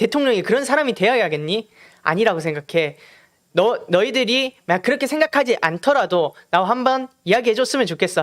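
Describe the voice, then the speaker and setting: In a strong Gyeongsang accent, the speaker moves at a fairly quick pace with very wide pitch swings, on a very clean recording with a silent background. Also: man. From Gyeongju, North Gyeongsang, South Korea. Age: 18. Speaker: youth political campaigner. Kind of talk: political appeal to peers.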